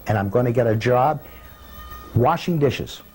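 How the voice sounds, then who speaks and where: Over noticeable background noise, a man with a Boston accent talks at a medium pitch and a moderate pace with lively intonation. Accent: Boston-area New England. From Cambridge, Massachusetts. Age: 60s. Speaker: hotel doorman. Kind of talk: documentary interview monologue. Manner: conversational with frequent hesitations.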